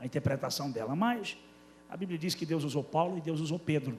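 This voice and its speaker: In a northeastern Brazilian accent, a man speaks somewhat breathily with ordinary pitch variation. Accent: northeastern Brazilian, somewhat drawling. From Brazilian Northeast, Paraíba (Campina Grande). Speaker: pastor. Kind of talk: sermon. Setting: church.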